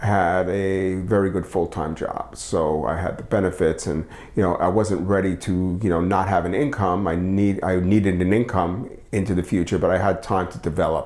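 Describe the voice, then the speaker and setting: Over noticeable background noise, a man with an American accent and a very deep, low voice keeps a moderate pace with hardly any pauses. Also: fairly even intonation. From New York City. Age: 60s. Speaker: photographer. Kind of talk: interview. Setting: living room at home. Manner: halting, many fillers.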